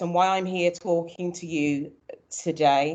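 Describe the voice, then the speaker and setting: A woman speaks with a Birmingham accent. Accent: Birmingham (Brummie). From Birmingham, England. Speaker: early years consultant, former nursery manager. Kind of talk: seminar presentation.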